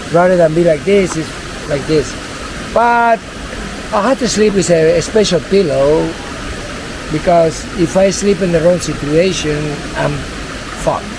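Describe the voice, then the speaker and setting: With a Spanish accent, a high-voiced man speaks fairly slowly with ordinary pitch variation and long, frequent pauses over noticeable background noise. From Venezuela. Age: 50s. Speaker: tour guide. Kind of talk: casual interview.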